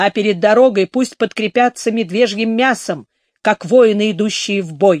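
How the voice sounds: A natural reading voice with fairly even intonation is heard in quiet surroundings.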